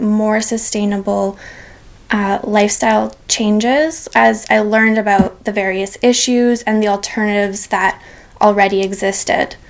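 Pitched fairly high, a woman's voice moves at a fairly slow pace. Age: 20s. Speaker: sustainability blogger and climate advocate. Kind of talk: interview. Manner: hesitant, many fillers.

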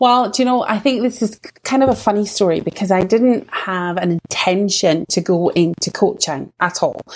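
A woman speaks with a Scottish accent at a moderate pace. She hardly pauses at all. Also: medium pitch for a woman, ordinary pitch variation. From Scottish Borders, Scotland. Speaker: sales coach for women entrepreneurs. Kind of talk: interview.

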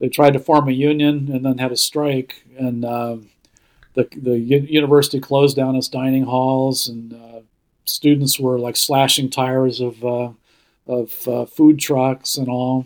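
At a fairly slow pace, a man delivers his words at a medium pitch in a monotone, flat intonation. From Ohio, US Midwest. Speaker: newspaper editor. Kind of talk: casual interview.

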